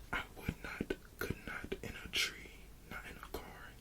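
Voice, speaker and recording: Someone is whispering at a fairly slow pace against noticeable background noise. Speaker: ASMR creator who reads bedtime stories. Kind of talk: children's book reading for sleep.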